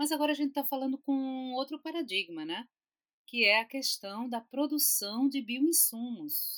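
Heard in a dry, close sound with no echo, a woman with a high voice speaks at a moderate pace with lively intonation. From Recife, Pernambuco, Brazil. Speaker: chemistry professor and institute director. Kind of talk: casual chat.

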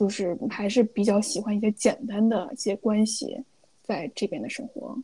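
A woman with a dark, mellow, somewhat breathy tone speaks at a moderate pace. Her fairly high voice shows ordinary pitch variation, recorded dry and close with no echo. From China, Beijing. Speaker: podcast co-host, finance worker. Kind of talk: casual chat.

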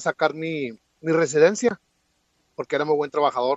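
The sound is dry and close, with no echo. The speaker keeps a moderate pace and ordinary pitch variation. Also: man. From Mexico (Chihuahua). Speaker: immigration commentator. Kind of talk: interview.

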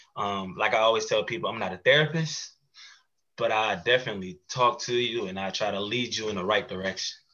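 A man's unremarkable speaking voice, medium in pitch, with ordinary pitch variation and a fairly quick pace. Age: 30s. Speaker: mental health podcast host and advocate. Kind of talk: casual interview chat.

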